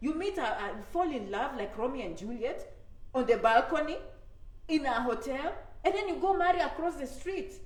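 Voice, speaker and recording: A woman sounds animated in a high pitch. Audible room echo surrounds her voice. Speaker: immigration advice YouTuber. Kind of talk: live stream talk to viewers. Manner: animated, repetitive conversational.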